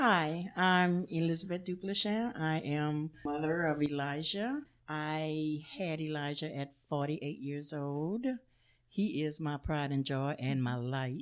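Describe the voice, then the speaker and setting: Speaking at a very slow pace with an American accent, a woman uses a very deep, low pitch and ordinary pitch variation in a very clean recording with a silent background. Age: 60s. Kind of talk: interview.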